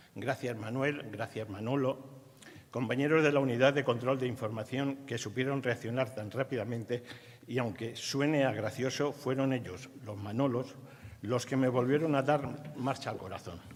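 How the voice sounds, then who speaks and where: A man is talking here. His pitch sits in the medium range and his pace is moderate. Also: fairly even intonation. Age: 60s. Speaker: retired university staff member. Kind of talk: ceremonial speech.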